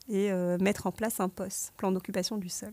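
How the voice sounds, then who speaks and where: A woman at a moderate pace, medium in pitch. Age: 30s. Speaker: IT project manager. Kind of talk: podcast interview. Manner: hesitant, many filler sounds.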